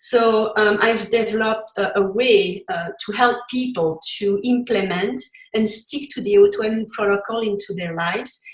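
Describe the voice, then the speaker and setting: With a Belgian accent, the speaker keeps a moderate pace and ordinary pitch variation. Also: woman. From Belgium. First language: French. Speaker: cookbook author and recipe developer. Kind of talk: interview.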